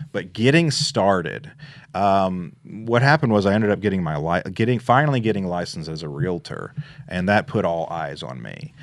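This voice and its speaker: Against a quiet background, a man with a Memphis accent talks at a moderate pace, his pitch swinging very widely. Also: fairly low pitch for a man. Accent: Southern US (Memphis). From Memphis, Tennessee. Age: 30s. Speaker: real estate investor. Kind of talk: casual interview.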